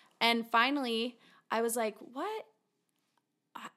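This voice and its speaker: This woman has a fairly high pitch. She speaks at a fairly slow pace. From Utah. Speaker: podcast co-host. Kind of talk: casual interview chat.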